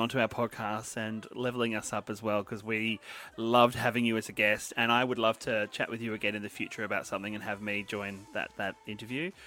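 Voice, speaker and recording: A man speaks at a fairly quick pace in an Australian accent. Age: 40s. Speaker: podcast host. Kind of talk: casual chat.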